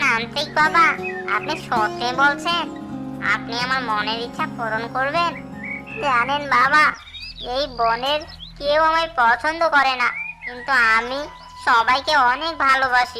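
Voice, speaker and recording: Over clear music in the background, a female-sounding, cartoonish character voice speaks at a fairly slow pace. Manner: chattering, talks to himself.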